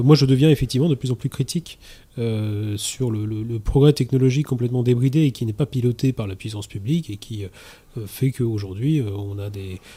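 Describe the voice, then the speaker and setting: A man talks fairly quickly in a medium-pitched, somewhat breathy voice with a dark, mellow tone, ordinary pitch variation and big swings in loudness. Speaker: political activist. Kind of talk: radio debate. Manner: halting, repeats words.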